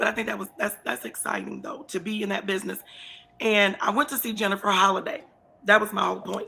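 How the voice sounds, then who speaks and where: Speaking at a very fast pace, a woman sounds animated, her medium pitch showing ordinary variation. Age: 50s. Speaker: talk show host. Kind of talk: casual interview chat.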